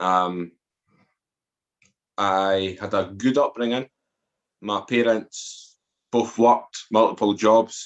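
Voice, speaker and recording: Speaking very slowly with long, frequent pauses, a man with an Edinburgh accent keeps a fairly low pitch and fairly even intonation. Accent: Scottish (Edinburgh). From Scotland, Edinburgh. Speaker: author and former addict telling life story. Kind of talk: podcast interview, personal testimony. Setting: podcast interview.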